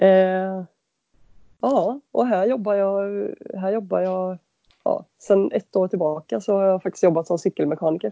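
A woman speaks in a normal speaking voice at medium pitch and a fairly slow pace. Her pitch varies in an ordinary way. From western Sweden (Halland, Varberg). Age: 30s. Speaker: bicycle mechanic and adventure cyclist. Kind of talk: interview.

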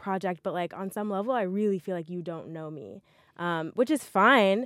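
With an unremarkable speaking voice, a woman in an American accent speaks at a medium pitch and moderate pace with ordinary pitch variation, in a dry, close recording with no echo that is very clean with a silent background. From US South (Montgomery, Alabama). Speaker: podcast co-host, software engineer. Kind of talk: casual chat. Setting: recording booth in a library.

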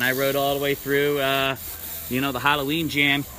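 Music plays in the background. A man with a fairly high pitch talks at a fairly quick pace. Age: 30s. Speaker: BMX trail rider. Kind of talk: casual chat.

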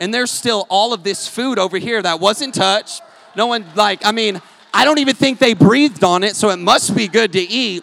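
A man speaks loudly at a moderate pace. There is noticeable background noise. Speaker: preacher. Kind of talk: sermon. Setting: church.

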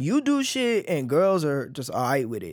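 A man's fairly high voice with very wide pitch swings and an American accent, at a moderate pace on a very clean recording with a silent background. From Dallas area, Texas (Oak Cliff, Cedar Hill). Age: 20s. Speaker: artist. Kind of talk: casual chat. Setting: studio.

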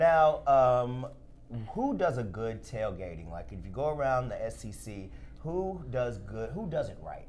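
A man with an American accent speaks at a fairly slow pace, his loudness swinging widely, with audible echo in the room. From Alabama, US South. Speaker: podcast host, food editor. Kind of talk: casual chat. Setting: studio.

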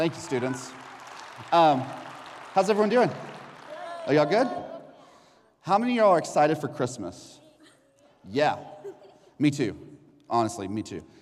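Over crowd noise in the background, a man with a fairly high voice talks at a moderate pace in an animated tone, using very wide pitch swings and long, frequent pauses. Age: 30s. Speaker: children's pastor. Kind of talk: children's sermon. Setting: church.

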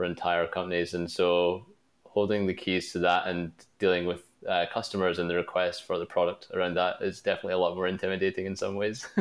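A man with a Glasgow accent, very deep and low in pitch, very fast, monotone and flat in intonation. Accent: Scottish (Glaswegian). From Glasgow, Scotland. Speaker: product manager. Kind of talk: interview.

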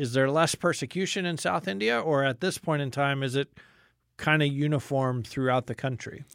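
The man's voice is a plain, everyday voice, fairly high in pitch. He speaks at a moderate pace. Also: ordinary pitch variation. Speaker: radio host. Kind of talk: interview. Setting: studio.

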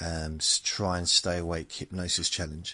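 At a moderate pace, a man speaks in a very deep, low voice with a bright, sharp tone. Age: 50s. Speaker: podcast host. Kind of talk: casual rambling monologue, sleep-inducing podcast. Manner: rambling, self-correcting, gentle.

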